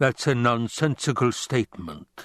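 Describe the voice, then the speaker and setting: A man's put-on character voice, rumbling, at a medium pitch, with lively intonation and a moderate pace. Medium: read story. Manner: gloating, florid.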